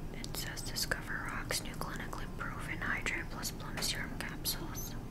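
A woman is whispering. She speaks at a moderate pace. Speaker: ASMR creator. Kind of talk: ASMR product haul. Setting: outdoors, windy. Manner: whispered, soft-spoken. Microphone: webcam.

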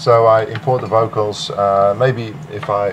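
A man speaks with a Dutch accent at a fairly low pitch. Noticeable background noise runs underneath. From Netherlands. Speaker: music producer. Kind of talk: interview. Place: home room.

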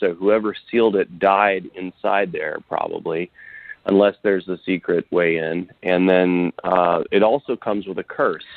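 A man with an ordinary speaking voice talks at a fairly slow pace, his fairly low pitch held in fairly even intonation. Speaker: action adventure author. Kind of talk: interview.

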